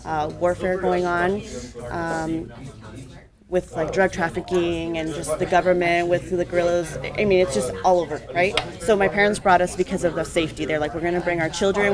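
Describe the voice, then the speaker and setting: A woman with a Spanish accent, fairly low in pitch, at a fairly quick pace, against noticeable background noise. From Colombia. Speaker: adult mentor. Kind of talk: mentoring talk to students.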